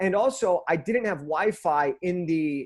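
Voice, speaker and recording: An energetic man speaks with an American accent and a high pitch. His pitch varies in an ordinary way over a quiet background. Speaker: motivational speaker. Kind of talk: interview. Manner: fast.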